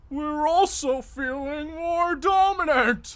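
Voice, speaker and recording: The voice is a put-on character at a high pitch. It moves at a very slow pace. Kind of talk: comic abridged parody acting. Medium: fan dub. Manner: enthusiastic, crude.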